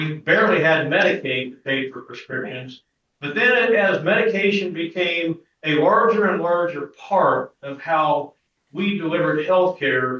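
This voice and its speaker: A man speaks loudly at a fairly slow pace. His pitch is high for a man. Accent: Midwestern US. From Kansas. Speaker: pharmacy business owner. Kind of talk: presentation to an audience.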